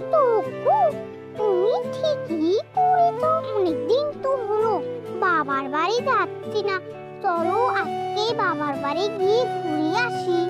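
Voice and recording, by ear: Loud music plays in the background as a woman uses a cartoonish character voice. She speaks at a very slow pace.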